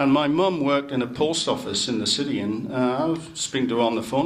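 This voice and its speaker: Over noticeable background noise and audible room echo, a man with a fairly high pitch talks at a fairly quick pace with lively intonation. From northern England, Newcastle upon Tyne. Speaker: city chief executive. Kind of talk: speech to club members.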